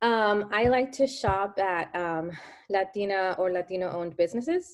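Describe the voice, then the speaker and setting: In a Spanish accent, a woman talks at a moderate pace with a medium pitch and ordinary pitch variation. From US, early childhood in Mexico. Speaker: daycare owner. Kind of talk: casual interview chat.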